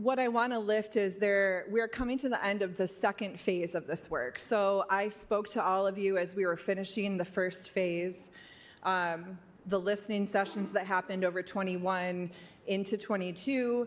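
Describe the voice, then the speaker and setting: An ordinary speaking voice talks at a moderate pace. The intonation stays fairly even and the loudness very even. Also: woman, medium pitch for a woman. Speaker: violence prevention program presenter. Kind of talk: public presentation to city commission.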